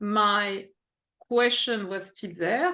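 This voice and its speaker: A woman speaks with a French accent and ordinary pitch variation. The background is quiet. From France, Paris. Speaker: executive coach. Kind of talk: interview. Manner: halting.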